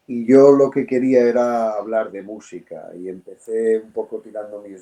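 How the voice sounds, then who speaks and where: A man's dark, mellow tone at medium pitch, with fairly even intonation and a moderate pace. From Spain, Madrid. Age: 60s. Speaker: voice actor and audiobook narrator. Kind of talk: interview. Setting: podcast. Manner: hesitant fillers.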